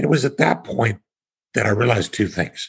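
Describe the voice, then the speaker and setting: Here a man with an American accent talks at a fairly quick pace in a fairly low pitch. His intonation is lively and his voice shows vocal fry. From Kansas, US Midwest. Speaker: real estate investor, tax exchange expert. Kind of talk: podcast interview.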